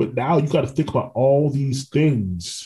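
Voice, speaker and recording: A man's dark, mellow, somewhat breathy voice with an American accent. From Orlando, Florida. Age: 30s. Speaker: podcast host. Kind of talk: podcast interview.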